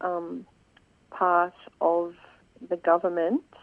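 A woman's medium-pitched voice at a very slow pace. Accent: Australian. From Swan Hill, northern Victoria, Australia. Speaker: environmental campaigner. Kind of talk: radio interview.

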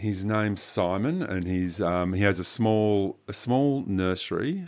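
A man with an Australian accent speaks in a very deep, low pitch with ordinary pitch variation. The recording is very clean, with a silent background. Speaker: botanic garden curator. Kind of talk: radio gardening talk show. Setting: studio.

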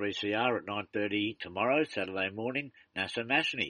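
The tone is bright and sharp. The speaker has an Australian accent. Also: man. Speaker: community radio host. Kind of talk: casual interview. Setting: phone call.

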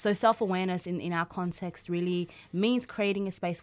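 A woman with a normal speaking voice talks at a fairly quick pace and a fairly low pitch. Her intonation is fairly even, and the recording is very clean with a silent background. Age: young. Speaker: community organisation co-founder. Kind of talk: radio interview. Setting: radio studio.

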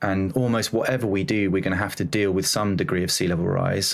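A man talks with a southern English accent. His pitch is fairly low. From southern England, near London. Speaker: oceanographer. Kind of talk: interview.

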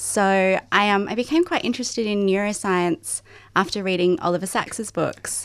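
Speaking with an Australian accent at a moderate pace, a woman keeps a medium pitch with ordinary pitch variation and very even loudness on a very clean recording with a silent background. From Sydney, Australia. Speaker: novelist. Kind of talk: radio interview. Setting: studio.

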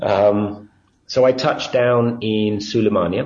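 With an English accent, a man talks in a fairly low pitch, and audible room echo surrounds his voice. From England. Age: 50s. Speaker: activist at a civil diplomacy centre. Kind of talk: interview. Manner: halting.

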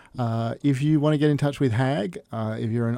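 In an Australian accent, a man talks with fairly even intonation and a dark, mellow tone. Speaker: community radio co-host. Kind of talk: community radio chat. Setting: radio studio. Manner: jokey, casual.

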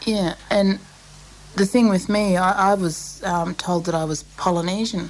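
A woman's medium-pitched voice with an Australian accent, a fairly slow pace, fairly even intonation and noticeable background noise. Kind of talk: interview. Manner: halting.

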